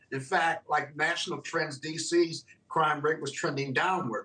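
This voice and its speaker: A man is speaking. His voice is high-pitched. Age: 60s. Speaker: attorney and political commentator. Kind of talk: TV news interview.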